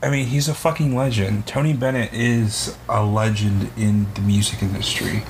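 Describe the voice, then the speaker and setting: An animated man speaks at a fairly low pitch and a moderate pace, with hardly any pauses. His loudness stays very even, his pitch varies in an ordinary way, and noticeable background noise is present. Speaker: podcast co-host. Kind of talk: casual chat. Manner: animated ranting.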